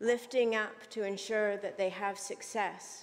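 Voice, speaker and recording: A woman's voice with monotone, flat intonation. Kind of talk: formal speech in a legislature. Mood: earnest, moved. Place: hall. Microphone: podium.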